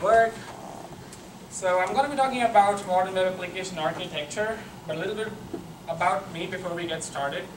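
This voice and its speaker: A man talks at a fairly quick pace with a high pitch. Noticeable background noise and audible room echo fill the recording. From Pakistan. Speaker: software engineer, conference speaker. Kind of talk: conference talk. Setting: stage with audience.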